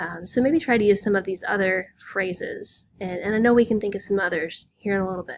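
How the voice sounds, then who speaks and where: A woman with an American accent, medium pitch and ordinary pitch variation, at a fairly quick pace with hardly any pauses. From US Midwest, Southern Illinois. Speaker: high school English teacher. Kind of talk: lecture. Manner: casual, with frequent fillers.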